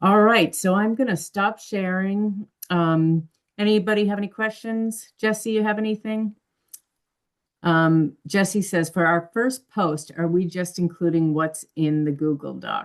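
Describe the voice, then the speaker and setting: A woman speaks in an unremarkable speaking voice at a medium pitch. Her pace is fairly slow. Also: ordinary pitch variation. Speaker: nursing course instructor. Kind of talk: online class meeting.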